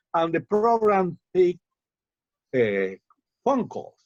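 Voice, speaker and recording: A man talks with a Cuban accent. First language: Spanish. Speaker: poet. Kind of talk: interview. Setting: video call. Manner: halting.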